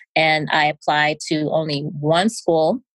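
In an American accent, a woman speaks with a very deep, low pitch, the sound dry and close with no echo. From US Northeast, New York. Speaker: physician. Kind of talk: interview.

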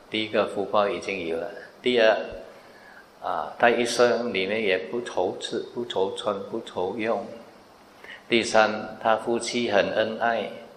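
Speaking at a very slow pace, a man with a medium pitch keeps a fairly even intonation amid audible room echo. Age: 60s. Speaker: Buddhist monk teacher. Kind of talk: dharma Q&A talk.

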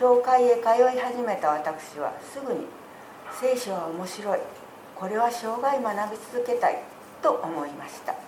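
With lively intonation and big swings in loudness, a woman speaks fairly slowly at a high pitch, amid noticeable background noise and audible room echo. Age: 70s. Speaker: church member giving testimony. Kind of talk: testimony. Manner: formal.

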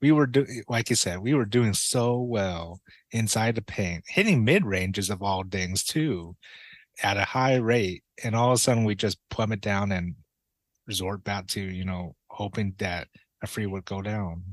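This man has an ordinary speaking voice with a fairly low pitch. He talks at a moderate pace over a quiet background. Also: ordinary pitch variation. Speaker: co-host. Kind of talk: casual sports podcast.

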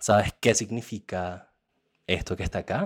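A man's fairly low voice at a moderate pace, ordinary pitch variation, on a very clean recording with a silent background. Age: 20s. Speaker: person living with HIV. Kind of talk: testimony. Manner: halting.

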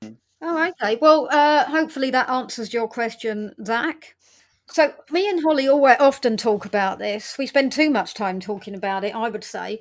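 A woman's high-pitched voice at a moderate pace, with big swings in loudness. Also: lively intonation. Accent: English. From England. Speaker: podcast host. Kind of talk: casual chat.

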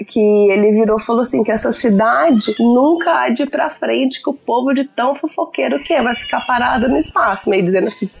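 A woman's high-pitched, fairly quick speech with hardly any pauses, lively intonation and very even loudness, over noticeable background noise. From interior of São Paulo state, Brazil (Nuporanga / Ribeirão Preto). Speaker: podcast guest, mother. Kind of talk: casual chat.

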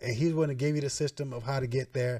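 On a very clean recording with a silent background, a man talks very fast at medium pitch, somewhat breathy, with a dark, mellow tone. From Atlanta area, Georgia. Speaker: real estate investor and mentor. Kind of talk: podcast interview.

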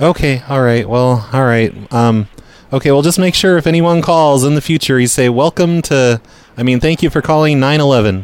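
A plain, everyday voice at a moderate pace, with ordinary pitch variation, on a very clean recording with a silent background. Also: man, fairly high pitch for a man. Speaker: prank caller and podcast host. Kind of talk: prank call, posing as a corporate boss. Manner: feigned-authority, insistent.

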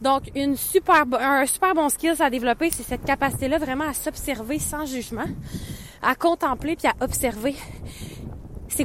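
A Quebec accent over noticeable background noise. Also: woman. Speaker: podcast host, business coach. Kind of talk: casual monologue. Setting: outdoors, walking in snow.

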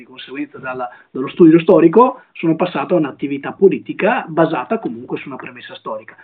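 A man with a plain, everyday voice speaks at a fairly high pitch. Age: 20s. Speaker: young politician and law student. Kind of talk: live-stream interview.

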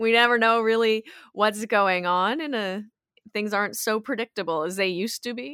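A woman's fairly high pitch with ordinary pitch variation and a bright, sharp tone. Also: moderate pace. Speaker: yoga teacher and wellness coach. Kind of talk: casual interview.

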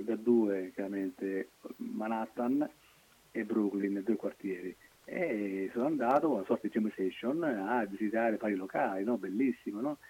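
Here is a man with a fairly low-pitched, dark, mellow voice. He speaks at a moderate pace with ordinary pitch variation. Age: 50s. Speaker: funk rap musician. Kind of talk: casual chat.

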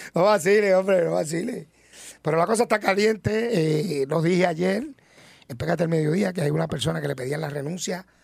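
A man speaks at a high pitch in an animated tone with ordinary pitch variation. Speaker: radio reporter. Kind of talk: live radio segment.

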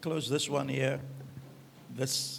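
A man speaks over noticeable background noise. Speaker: pastor. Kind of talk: sermon. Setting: church.

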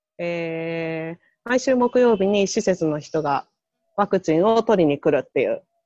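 This woman speaks at a fairly slow pace, her medium-pitched voice showing lively intonation. The sound is dry and close with no echo, and music plays in the background. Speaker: public health nurse volunteer. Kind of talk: casual chat.

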